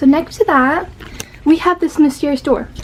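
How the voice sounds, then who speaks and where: A loud woman over noticeable background noise. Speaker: vlogger. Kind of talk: casual room tour vlog. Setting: at home, moving around bedroom. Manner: animated. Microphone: no microphone, device mic.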